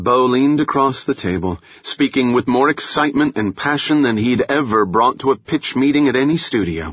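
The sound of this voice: An unforced reading voice carries the text.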